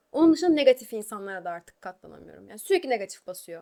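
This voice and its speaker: Her high-pitched voice carries lively intonation. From Turkey, Eskişehir. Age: 20s. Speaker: YouTuber and singer. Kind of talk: casual Q&A vlog.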